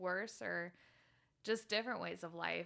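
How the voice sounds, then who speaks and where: A woman with an American accent speaks at a moderate pace in a bright, sharp tone, her intonation fairly even. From Utah. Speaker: guest, mother of three. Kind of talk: casual conversation. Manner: laughs often.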